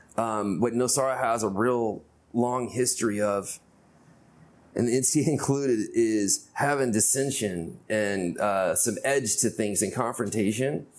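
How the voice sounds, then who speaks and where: A man's plain, everyday voice at a medium pitch, with ordinary pitch variation, very even loudness and a fairly slow pace. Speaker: podcast host. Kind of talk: podcast interview questions. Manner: casual.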